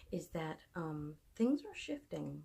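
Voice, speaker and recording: A woman speaks soft-spoken and somewhat breathy. Her voice has a dark, mellow tone and fairly low pitch. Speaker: fitness and motivation vlogger. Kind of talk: personal monologue. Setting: away from home at night. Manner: hesitant. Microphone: no microphone, device mic.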